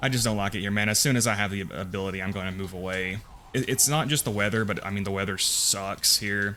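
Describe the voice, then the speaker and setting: A man speaks with a slight Southern US accent at a fairly quick pace. His pitch is fairly low, and his intonation stays fairly even. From US South (Appalachia, Bible Belt). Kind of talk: casual gameplay commentary. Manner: casual, hesitant with repetitions.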